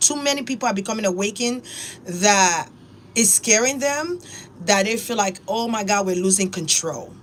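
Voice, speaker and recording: Noticeable background noise sits behind a woman at medium pitch who speaks in an animated tone with lively intonation. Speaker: spiritual YouTuber. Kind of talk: casual monologue.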